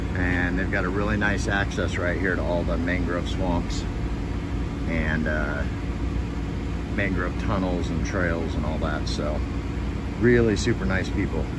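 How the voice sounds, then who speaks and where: Long, frequent pauses break up the fairly slow delivery over loud background noise. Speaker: travel vlogger. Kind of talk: casual vlog chat. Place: street. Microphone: phone near.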